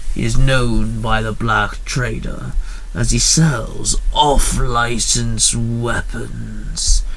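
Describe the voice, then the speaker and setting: A gruff, put-on character voice speaks at a very slow pace over clear background noise. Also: man. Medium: read story. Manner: gruff, barking.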